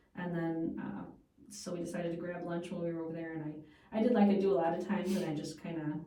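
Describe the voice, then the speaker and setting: A woman talks at a very fast pace in a fairly low voice with fairly even intonation. The recording has audible room echo and noticeable background noise. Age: 50s. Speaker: food radio show and podcast host. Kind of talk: casual chat.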